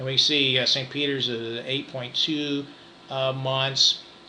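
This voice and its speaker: A man's voice with noticeable background noise. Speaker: real estate broker. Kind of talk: market update presentation. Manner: fast; halting, many fillers.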